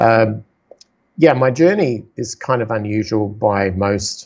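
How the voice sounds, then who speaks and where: A man's fairly low voice with an Australian accent. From South Australia. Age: 50s. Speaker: entrepreneur and investor. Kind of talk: podcast interview.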